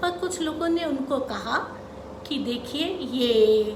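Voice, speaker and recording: A woman's high voice with lively intonation amid noticeable background noise. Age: 50s. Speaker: investor. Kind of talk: educational talk to camera.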